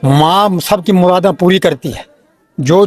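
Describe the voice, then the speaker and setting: Normal rises and falls in pitch, heard in dry, close sound with no echo. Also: man. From Himachal Pradesh, Chamba area. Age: 70s. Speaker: pilgrim. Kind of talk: casual interview.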